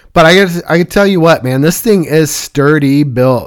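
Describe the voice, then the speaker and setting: Speaking in a normal speaking voice, a man keeps a moderate pace, with a fairly high pitch and ordinary pitch variation. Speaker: listener reviewing gear. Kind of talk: product review.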